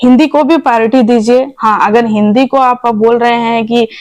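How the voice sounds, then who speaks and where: A woman speaks with a Bengali accent at a fairly high pitch. Her intonation is fairly even. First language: Bengali (speaking Hindi). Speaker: Bengali community activist. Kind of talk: interview.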